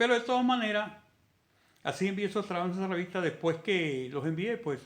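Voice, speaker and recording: A man's high-pitched voice with lively intonation at a fairly quick pace. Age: 70s. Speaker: independent physics researcher. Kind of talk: video monologue. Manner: halting.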